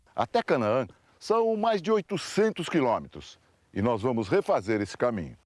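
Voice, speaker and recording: A man's medium-pitched voice with very wide pitch swings at a moderate pace, dry and close with no echo, on a very clean recording against a silent background. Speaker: TV news reporter. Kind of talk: TV news report narration.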